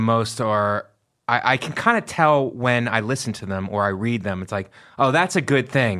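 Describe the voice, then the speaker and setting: A man talks in an ordinary speaking voice at a medium pitch. His pitch variation is ordinary and his pace is moderate. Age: 40s. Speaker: comedian. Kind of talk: casual chat.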